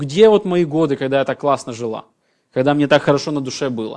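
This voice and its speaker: Over a quiet background, the speaker talks at a very fast pace. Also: man. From former Soviet Union. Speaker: pastor. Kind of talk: sermon.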